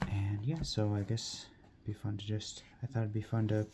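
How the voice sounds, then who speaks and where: Soft-spoken delivery at a very slow pace. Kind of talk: casual talk to camera.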